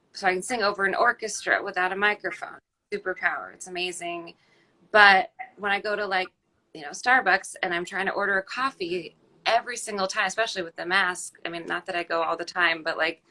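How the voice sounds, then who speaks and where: A woman with a medium-pitched voice keeps her intonation fairly even while her loudness swings widely. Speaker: opera singer and sound bath performer. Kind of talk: casual chat.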